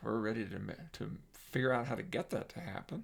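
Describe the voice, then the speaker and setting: Vocal fry runs through a man's speech, which carries an American accent and very wide pitch swings. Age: 70s. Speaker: psychologist and workshop presenter. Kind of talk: casual monologue. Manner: halting, many fillers; animated.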